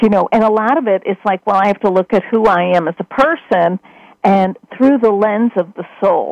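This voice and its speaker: Recorded with a dry, close sound and no echo, an unremarkable speaking voice moves at a moderate pace with ordinary pitch variation. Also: woman, medium pitch for a woman. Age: 60s. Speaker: spiritual teacher and author. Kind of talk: radio interview.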